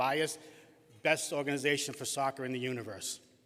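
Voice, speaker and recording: This man talks at a moderate pace in a Boston accent. His pitch sits fairly high for a man. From Boston, Massachusetts. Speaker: award-winning youth soccer volunteer and league president. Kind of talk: acceptance speech. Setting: stage with audience at a gala. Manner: halting.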